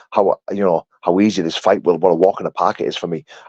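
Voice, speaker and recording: The man's voice is very deep and low, with an animated tone. The sound is dry and close, with no echo. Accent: Yorkshire. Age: 30s. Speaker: bare-knuckle fighter. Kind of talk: live stream chat reading comments.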